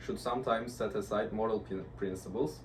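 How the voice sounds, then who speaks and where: With a Turkish accent, a man speaks at a medium pitch and moderate pace, his fairly even intonation touched by vocal fry and audible room echo. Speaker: university student. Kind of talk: class presentation discussion. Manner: hesitant, many fillers.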